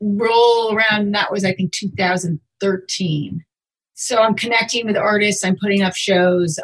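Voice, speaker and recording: A somewhat breathy woman at a fairly slow pace. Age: 40s. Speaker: artist and gallery owner. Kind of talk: interview.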